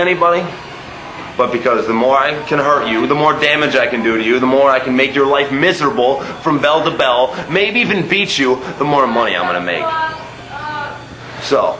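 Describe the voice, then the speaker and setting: A man with a fairly high voice speaks at a moderate pace with ordinary pitch variation over noticeable background noise. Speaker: professional wrestler. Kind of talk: wrestling promo.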